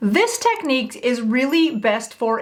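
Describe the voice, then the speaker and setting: A woman speaks over noticeable background noise. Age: 50s. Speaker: beauty content creator. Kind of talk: tutorial. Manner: casual, friendly.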